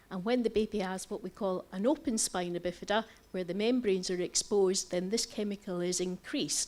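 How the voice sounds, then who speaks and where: The speaker has a Scottish accent and a fairly quick pace. There are hardly any pauses, and the pitch varies in an ordinary way. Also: woman, medium pitch for a woman. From Scotland. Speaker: doctor and president of a patient federation. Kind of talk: conference lecture. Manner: fast.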